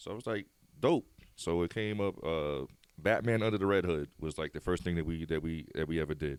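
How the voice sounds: A man speaks with a low pitch at a fairly quick pace. His tone is clear and smooth. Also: ordinary pitch variation.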